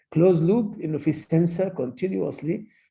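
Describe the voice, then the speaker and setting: There is vocal fry in this man's dark, mellow voice. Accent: Arabic. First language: Arabic. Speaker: medical lecturer, pediatric endocrinologist. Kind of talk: lecture. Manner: code-switching Arabic and English.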